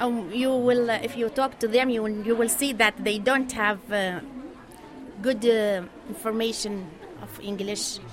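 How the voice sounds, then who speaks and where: The speaker goes at a fairly slow pace with fairly even intonation and long, frequent pauses. Noticeable background noise and audible room echo fill the recording. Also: woman, fairly high pitch for a woman. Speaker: English teacher. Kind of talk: interview. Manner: halting.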